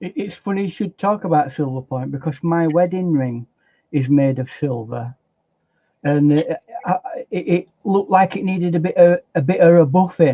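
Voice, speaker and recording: Man with a Yorkshire accent, high in pitch, with a dark, mellow tone, ordinary pitch variation and a moderate pace, in a dry, close recording with no echo. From South Yorkshire, England (Barnsley). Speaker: artist. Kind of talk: casual chat. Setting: live stream.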